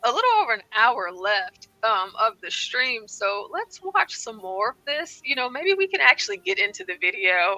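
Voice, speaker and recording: A squeaky, raised, projected voice swings very widely in pitch with an animated tone. The pace is moderate, and the sound is dry and close with no echo. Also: woman. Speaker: live call-in show co-host. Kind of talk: casual chat. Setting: live stream.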